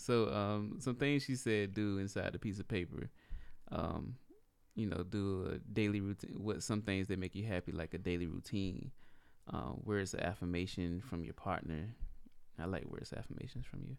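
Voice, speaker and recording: Moderate pace and ordinary pitch variation from a man with a normal speaking voice, fairly low in pitch. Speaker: podcast co-host. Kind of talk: casual chat. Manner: laid-back.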